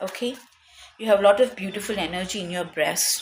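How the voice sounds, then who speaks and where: A woman's somewhat breathy, medium-pitched voice moves at a moderate pace with ordinary pitch variation. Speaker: tarot reader. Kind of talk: tarot reading.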